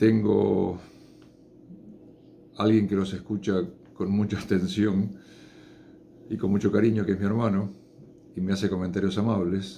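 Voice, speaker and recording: With a dark, mellow tone and fairly low pitch, a man talks at a fairly slow pace in a monotone, flat delivery, leaving long, frequent pauses amid audible room echo. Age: 60s. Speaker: chemist giving science talks. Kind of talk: informal lecture. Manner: unscripted, with hesitations.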